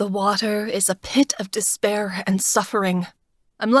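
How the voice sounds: Quiet background behind a natural, read-aloud voice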